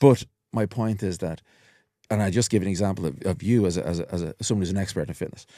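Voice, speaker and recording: Speaking very fast, a man with a fairly low pitch and a dark, mellow tone uses ordinary pitch variation on a very clean recording with a silent background. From Ireland, Dublin (Walkinstown). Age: 50s. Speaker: hypnotherapist. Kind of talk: casual chat.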